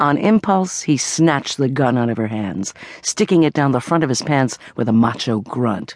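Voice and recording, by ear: Natural-voiced reading aloud full of lively intonation.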